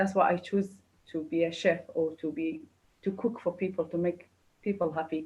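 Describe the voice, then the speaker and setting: A woman with a Kurdish accent, fairly low pitch, fairly even intonation and a somewhat breathy sound. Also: moderate pace. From Kurdistan. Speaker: chef. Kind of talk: interview. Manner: halting.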